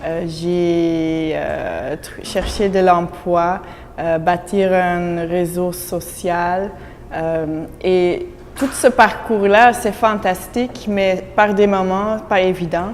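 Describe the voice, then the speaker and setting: Very slowly, a woman speaks in a fairly low pitch with fairly even intonation. Noticeable background noise and audible room echo surround her. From Belgium (Flemish). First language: Dutch (speaking French). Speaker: immigrant employee. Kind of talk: interview testimony.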